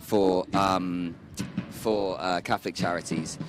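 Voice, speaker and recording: A man is speaking. He has a British accent. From United Kingdom. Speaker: refugee charity volunteer manager. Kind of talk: interview.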